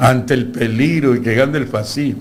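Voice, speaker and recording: Audible room echo colors a man's medium-pitched voice. He speaks at a moderate pace with ordinary pitch variation. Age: 70s. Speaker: lawyer and university lecturer. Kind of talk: political interview. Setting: studio.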